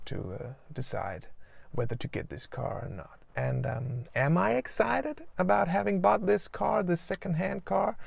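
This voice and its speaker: The speaker has a slight Danish accent. The pace is moderate. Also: man. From Denmark. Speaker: doctor and video blogger. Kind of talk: casual vlog talk. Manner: halting, many fillers.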